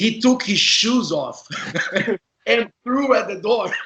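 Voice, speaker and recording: With a Portuguese accent, a man talks. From Brazil. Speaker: former indoor soccer player, interview host. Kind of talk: casual interview chat.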